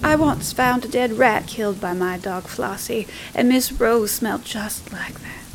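A woman's voice at a fairly slow pace, with ordinary pitch variation and noticeable background noise. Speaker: storyteller narrating a ghost story. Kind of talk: horror story narration, creepy old woman telling a tale. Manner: slow, hushed, eerie, with sighs and gasping menace.

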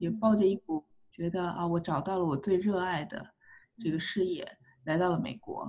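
At a moderate pace, a woman speaks with a dark, mellow tone, a medium pitch, ordinary pitch variation and a somewhat breathy quality. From China. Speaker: clinical psychologist. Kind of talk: interview. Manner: hesitant fillers.

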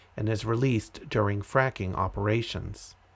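A man speaks in a plain, everyday voice with an American accent. His pitch is medium, with ordinary pitch variation, at a moderate pace. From Massachusetts (Andover). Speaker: podcast host. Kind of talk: reading aloud.

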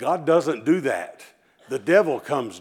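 A man at a moderate pace, warm in tone with vocal fry and very wide pitch swings. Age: 40s. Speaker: visiting preacher. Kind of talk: sermon. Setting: church. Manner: warm, conversational, humorous.

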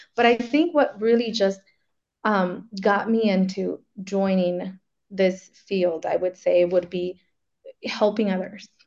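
A woman with an American accent, at a very slow pace and with fairly even intonation. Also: medium pitch for a woman. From Arizona. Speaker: business developer. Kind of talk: webinar talk.

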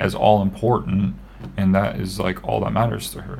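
A man talks at a fairly low pitch. Audible room echo and noticeable background noise fill the recording. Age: 30s. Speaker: podcast co-host. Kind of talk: casual chat.

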